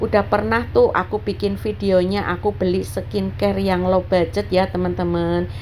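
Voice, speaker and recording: Over noticeable background noise, a woman speaks with a very deep, low pitch and monotone, flat intonation. Her pace is moderate, with hardly any pauses. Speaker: housewife vlogger. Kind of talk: budgeting vlog narration. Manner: casual, chatty.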